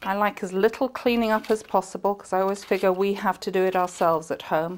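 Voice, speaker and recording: A woman talks at a very fast pace in an English accent. Her pitch is medium and her intonation fairly even. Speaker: TV chef and cooking teacher. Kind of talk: cooking tutorial. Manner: chatty.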